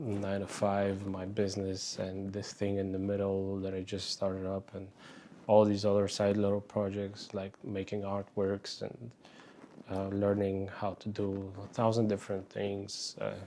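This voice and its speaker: In a dark, mellow tone, a man talks at a fairly slow pace with monotone, flat intonation. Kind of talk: casual talk to camera. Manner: hesitant, rambling.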